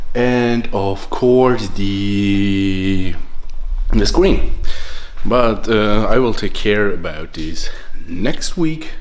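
The pitch varies in an ordinary way. The pace is very slow. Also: man, fairly low pitch for a man. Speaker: vlogger moving apartments. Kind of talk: casual vlog chat. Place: home room. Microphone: phone near.

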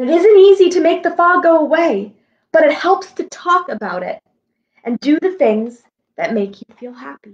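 A woman speaks with a high pitch and lively intonation. Her pace is moderate.

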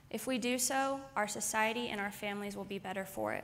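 Fairly even intonation marks the woman's speech, which moves at a moderate pace. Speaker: conference speaker. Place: stage. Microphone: podium.

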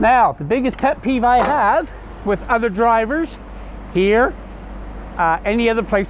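Here a man talks with high pitch and ordinary pitch variation. The sound is dry with no echo, over light background noise. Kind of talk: tutorial. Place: street.

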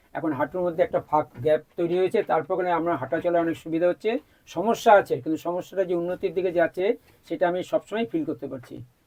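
With ordinary variation in pitch, a man speaks in a high register. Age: 70s. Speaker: patient. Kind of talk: testimony.

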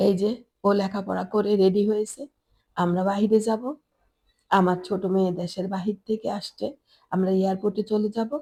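In a very clean recording with a silent background, a woman speaks at a medium pitch. Her tone is dark and mellow, her intonation monotone and flat. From Bangladesh, Chittagong. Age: old. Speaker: lifestyle vlogger, housewife. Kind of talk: home tour vlog narration.

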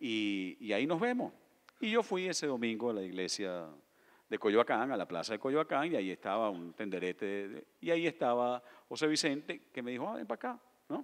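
Very wide pitch swings fill a man's speech, which moves at a moderate pace. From Venezuela. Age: 50s. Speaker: novelist. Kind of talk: on-stage interview at literature festival. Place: stage. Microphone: handheld.

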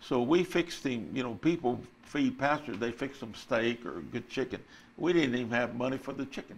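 In a Texan accent, the speaker talks at a moderate pace with ordinary pitch variation over light background noise. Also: man. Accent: Texan Southern US English. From Texas. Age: 80s+. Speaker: retired pastor. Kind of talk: testimony. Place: studio. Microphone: lapel.

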